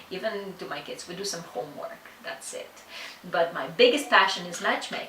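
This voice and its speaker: A woman keeps a moderate pace, her words carrying audible room echo against noticeable background noise. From Ukraine. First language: Russian or Ukrainian. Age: 30s. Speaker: matchmaker. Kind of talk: interview. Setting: office. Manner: halting.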